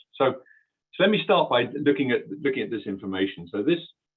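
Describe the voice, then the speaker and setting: Fairly quick speech from a man with a British accent. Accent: British accent, noticeable to US listeners. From UK. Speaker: transport software company executive. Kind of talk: webinar presentation. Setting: online webinar. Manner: hesitant, many fillers and repeats.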